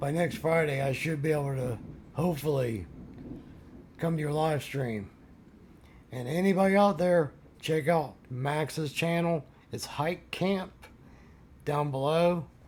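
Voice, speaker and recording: A man speaks at a fairly slow pace in a somewhat breathy voice, with long, frequent pauses. His pitch is fairly high and varies in an ordinary way. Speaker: van life vlogger. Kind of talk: casual vlog outro. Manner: halting, repeats words.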